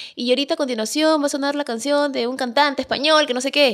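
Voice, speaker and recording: High-pitched woman's voice. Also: quiet background. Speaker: social media content creator; podcast guest. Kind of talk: casual interview chat. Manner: fast. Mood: amused, lively. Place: studio. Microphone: studio mic.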